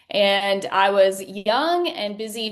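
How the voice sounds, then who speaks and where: This woman speaks with a Southern US accent at a medium pitch. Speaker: patient sharing her story. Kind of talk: interview testimony.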